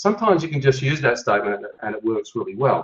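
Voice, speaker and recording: This man talks at a very fast pace with lively intonation. His voice is medium in pitch and somewhat breathy. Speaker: energy tapping therapist, webinar teacher. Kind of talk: webinar coaching session. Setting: online webinar.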